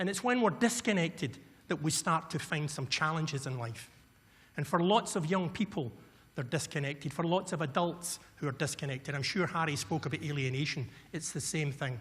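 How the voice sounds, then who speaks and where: With a west of Scotland accent, a man speaks at a fairly quick pace, his fairly high pitch moving in lively intonation. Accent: Scottish, west of Scotland. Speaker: violence prevention consultant. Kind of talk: conference keynote speech. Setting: stage with audience. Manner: fast when excited.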